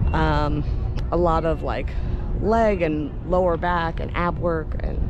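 A woman speaks with music in the background. The sound is dry with no echo. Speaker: vlogger. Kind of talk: casual vlog chat. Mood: upbeat, chatty. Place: open country. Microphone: phone near.

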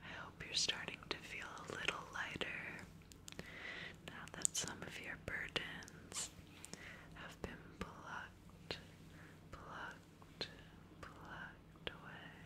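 A woman whispers in a soothing tone at a very slow pace, with big swings in loudness and long, frequent pauses. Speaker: ASMR creator. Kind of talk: ASMR whisper session. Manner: whispered, soothing. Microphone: studio mic.

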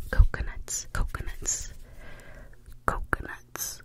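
A woman whispers. Her words come out in a whisper. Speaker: ASMR creator. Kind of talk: ASMR trigger words. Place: home room. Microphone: studio mic.

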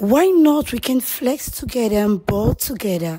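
Her pace is fairly slow. The woman's pitch moves with ordinary variation. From Bayelsa State, Nigeria. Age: 20s. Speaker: street interviewee. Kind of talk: street-style interview answer, playful. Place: home room. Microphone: handheld.

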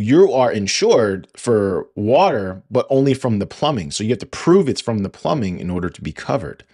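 At a moderate pace, a man speaks with a fairly low pitch over a quiet background. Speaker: podcast host. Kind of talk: casual podcast monologue. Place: home room. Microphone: studio mic.

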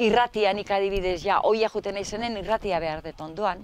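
A woman speaks at a medium pitch in a dry sound with no echo. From Navarre, Basque Country. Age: 60s. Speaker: relative of Basque prisoners. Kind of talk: testimony. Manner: halting. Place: garden. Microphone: lapel.

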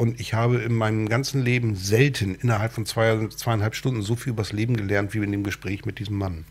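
Speaking fairly quickly with hardly any pauses, a man uses a fairly low voice. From northern Germany, Cuxhaven. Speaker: talk show host. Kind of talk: casual interview chat. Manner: halting, many fillers.

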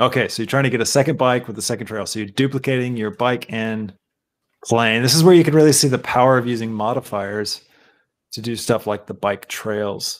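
Fairly quick male speech at medium pitch, with ordinary pitch variation. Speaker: live stream show host. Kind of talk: live stream commentary. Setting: live stream with remote guests. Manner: animated.

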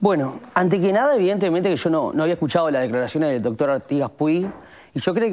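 A man's very fast speech with lively intonation. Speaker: hospital staff committee spokesperson. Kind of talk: interview answer. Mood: earnest, critical. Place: studio. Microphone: lapel.

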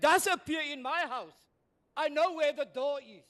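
A man's bright, sharp tone at an extremely high pitch and a fairly slow pace. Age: 70s. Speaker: retired pastor. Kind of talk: public hearing submission. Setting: community hall public hearing. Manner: impassioned, preacher-like.

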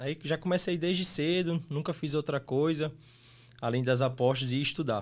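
A man with an ordinary speaking voice talks at a moderate pace, his pitch varying in an ordinary way. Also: fairly high pitch for a man. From Brazil, Mossoró (Rio Grande do Norte); Rio Grande do Norte, Brazil. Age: 20s. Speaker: sports betting tipster; podcast guest. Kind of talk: casual interview; interview answer. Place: studio. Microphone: studio mic.

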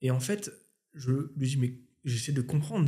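A man's somewhat breathy voice, dark and mellow in tone, over a quiet background. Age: 30s. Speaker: YouTuber and musician; YouTuber. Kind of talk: casual chat. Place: home room. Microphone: studio mic.

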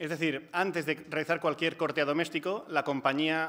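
Speaking in a Catalan accent at a fairly quick pace, a man uses a fairly high pitch and a bright, sharp tone with monotone, flat intonation. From Catalonia. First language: Catalan (speaking Spanish). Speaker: housing and energy rights activist; speaker. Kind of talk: panel talk. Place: hall. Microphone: podium.

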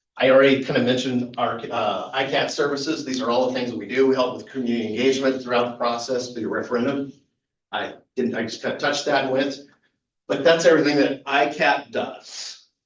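A man at medium pitch and fairly quick pace, with fairly even intonation and audible room echo. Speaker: facilities consultant presenting to school board. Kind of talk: presentation. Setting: school board meeting. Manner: fast.

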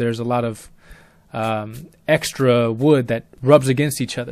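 Ordinary pitch variation comes with a fairly slow speaking pace. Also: man. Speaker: storyteller and musician. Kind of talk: personal testimony. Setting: self-recorded audio. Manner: articulate.

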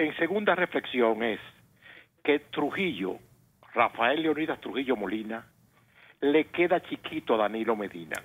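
The pitch swings very widely at a fairly slow pace. Long, frequent pauses come throughout. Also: man. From Dominican Republic. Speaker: engineer, caller; caller. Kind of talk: call-in political opinion. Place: studio.

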